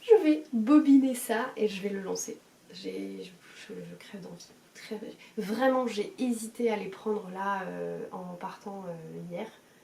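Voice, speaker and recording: A woman talks at a very slow pace with big swings in loudness. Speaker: knitting podcaster. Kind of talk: casual chat. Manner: hesitant, many fillers.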